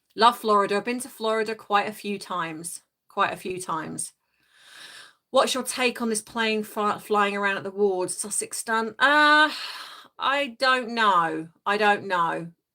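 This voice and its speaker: In a British accent, a woman speaks fairly slowly at a medium pitch with ordinary pitch variation and a bright, sharp tone. The recording is very clean, with a silent background. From England. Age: 50s. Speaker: life coach and live streamer. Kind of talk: casual live chat reading comments. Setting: livestream from home.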